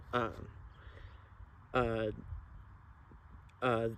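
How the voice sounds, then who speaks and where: Noticeable noise sits in the background. A man speaks at a medium pitch. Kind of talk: casual talk to camera. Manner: halting, many fillers and repetitions.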